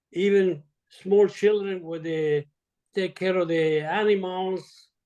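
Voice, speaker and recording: This man speaks at a very slow pace and a high pitch. His intonation is monotone and flat. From Italy. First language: Italian. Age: 80s+. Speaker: retired surgeon. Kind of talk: interview. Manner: halting.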